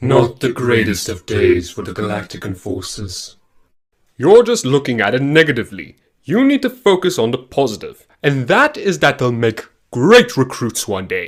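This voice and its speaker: A man's put-on character voice at medium pitch and a moderate pace. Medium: short film. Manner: grandiose, theatrical.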